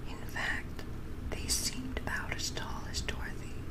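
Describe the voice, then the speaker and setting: A woman talks at a very slow pace. Loud background noise fills the recording. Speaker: ASMR reader. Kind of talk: audiobook reading. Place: home room. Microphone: studio mic.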